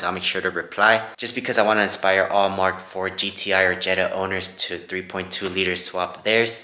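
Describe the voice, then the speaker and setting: A man's very deep, low voice against noticeable background noise. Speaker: car DIY youtuber. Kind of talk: tutorial. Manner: casual.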